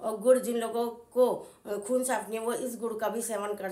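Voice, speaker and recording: Noticeable background noise runs under a woman's monotone, flat intonation. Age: 50s. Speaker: home cook. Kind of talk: casual talk to camera.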